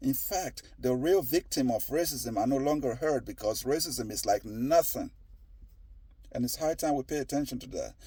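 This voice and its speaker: This man's voice is dark and mellow, yet fairly high in pitch. He talks at a moderate pace with ordinary pitch variation. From Nigeria. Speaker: commentator on social issues. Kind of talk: opinion monologue. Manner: halting, many repetitions; emphatic.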